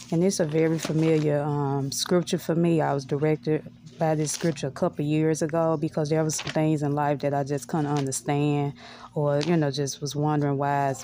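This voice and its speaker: Amid light background noise with a dry sound and no echo, a woman speaks at a fairly quick pace in a very deep, low pitch, with a dark, mellow tone, monotone, flat intonation and very even loudness. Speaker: lifestyle vlogger. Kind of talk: casual vlog chat. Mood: calm, reflective. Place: home room. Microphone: phone near.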